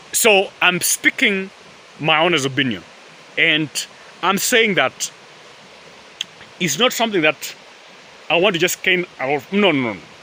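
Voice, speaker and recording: A man speaks with an East African accent, his high voice full of lively intonation. He talks at a fairly slow pace with long, frequent pauses over noticeable background noise. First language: Swahili. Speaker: vlogger. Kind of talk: casual vlog monologue. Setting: outdoors in a forest. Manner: halting, many fillers.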